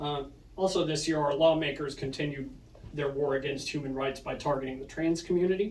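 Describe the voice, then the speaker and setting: A man with an Oklahoma accent talks at a fairly quick pace in a fairly high pitch. His intonation is fairly even, and audible room echo surrounds him. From Oklahoma, Muskogee. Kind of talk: prepared speech to an audience. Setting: punk house basement with audience. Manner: read from phone.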